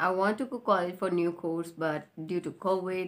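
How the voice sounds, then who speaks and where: A woman with an Indian accent, fairly low pitch and fairly even intonation at a moderate pace. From India, Rajasthan. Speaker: YouTuber and English learner. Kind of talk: casual chat; channel intro.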